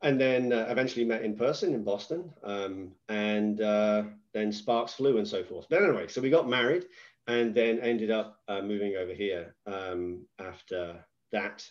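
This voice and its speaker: A man speaks in an English accent at a moderate pace, with fairly low pitch and ordinary pitch variation. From England. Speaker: business executive. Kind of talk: podcast interview.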